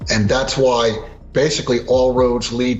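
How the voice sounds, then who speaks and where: Over noticeable background noise and audible room echo, a man talks at a medium pitch. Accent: American. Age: 60s. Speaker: precious metals analyst. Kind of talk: interview.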